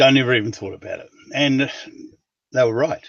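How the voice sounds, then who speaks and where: The speaker is a man. He has a New Zealand accent. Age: 70s. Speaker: writer. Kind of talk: interview. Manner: hesitant, with fillers.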